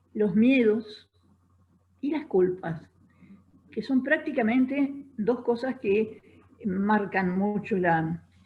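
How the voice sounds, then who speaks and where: At a very slow pace, a somewhat breathy woman with a fairly high pitch speaks with lively intonation and long, frequent pauses. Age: 80s+. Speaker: feminist writer and radio host. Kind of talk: live interview answer.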